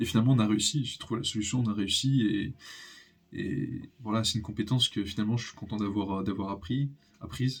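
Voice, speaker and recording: Speaking at a moderate pace, a man uses fairly even intonation. His medium-pitched voice is somewhat breathy. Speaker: youtuber. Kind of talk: personal vlog monologue. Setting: home recording, natural daylight. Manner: halting, many pauses.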